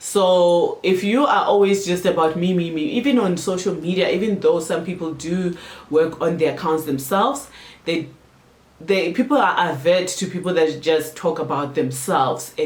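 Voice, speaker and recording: Noticeable background noise can be heard as the talking proceeds at a moderate pace. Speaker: marketing consultant and YouTuber. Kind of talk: tutorial. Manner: animated.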